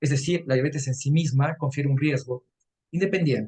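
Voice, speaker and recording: Somewhat breathy, this man's fairly high-pitched voice shows ordinary pitch variation. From Peru, Arequipa. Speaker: nutrition lecturer. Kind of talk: lecture. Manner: fast.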